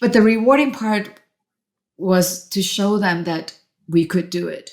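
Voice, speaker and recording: Her pitch varies in an ordinary way as a woman speaks at a fairly slow pace. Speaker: venture capitalist and entrepreneur. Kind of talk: podcast interview.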